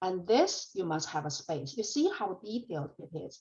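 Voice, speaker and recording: Somewhat breathy, a woman with a Chinese accent and fairly low pitch speaks at a fairly slow pace. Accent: Chinese accent, noticeable. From China. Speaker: college programming instructor. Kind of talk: lecture. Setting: classroom.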